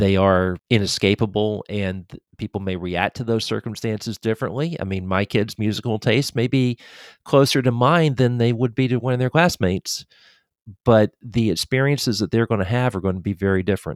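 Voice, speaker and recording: A plain, everyday voice at a fairly quick pace, ordinary pitch variation, dry and close with no echo, on a very clean recording with a silent background. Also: man, fairly low pitch for a man. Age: 50s. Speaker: music and sports writer. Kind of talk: casual chat.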